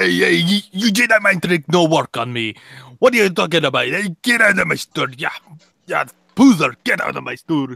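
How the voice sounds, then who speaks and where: Putting on a gruff character voice, a man speaks high-pitched at a moderate pace. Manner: gruff, hardcore.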